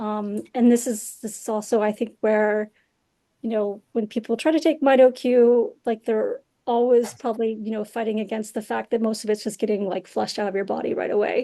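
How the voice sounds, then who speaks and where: The pace is fairly quick. The tone comes across dark and mellow. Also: woman, fairly high pitch for a woman. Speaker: scientist giving a talk. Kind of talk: lecture with slides. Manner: fast; animated.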